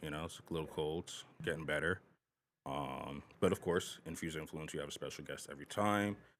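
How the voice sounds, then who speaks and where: This man has a very deep, low voice with vocal fry. He talks at a fairly quick pace with fairly even intonation. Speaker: podcast host. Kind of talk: casual chat.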